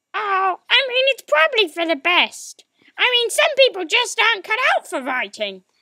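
A cartoonish character voice at an extremely high pitch and a moderate pace. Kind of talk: comedy puppet sketch dialogue.

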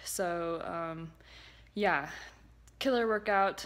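Pitch moves in an ordinary way as a woman talks. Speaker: fitness instructor. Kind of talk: casual vlog chat. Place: home room. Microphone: phone near.

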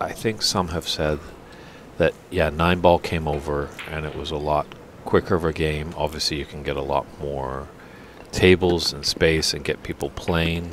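A man with a slight Canadian accent speaks in a very deep, low pitch with monotone, flat intonation at a moderate pace, against noticeable background noise. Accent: slight Canadian twang. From Canada. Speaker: snooker commentator. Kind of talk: live commentary. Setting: commentary booth at snooker tournament.

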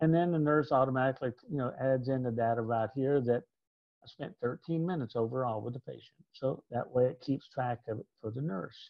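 Against a quiet background, a man talks at a fairly quick pace with ordinary pitch variation, in a dry sound with no echo. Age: 60s. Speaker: reimbursement consultant. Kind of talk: educational presentation. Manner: casual. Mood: relaxed, conversational. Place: home room. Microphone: webcam.

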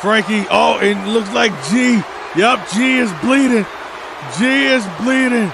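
With noticeable background noise behind him, a high-pitched man talks at a very slow pace, his loudness very even and his pitch variation ordinary. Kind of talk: live wrestling commentary.

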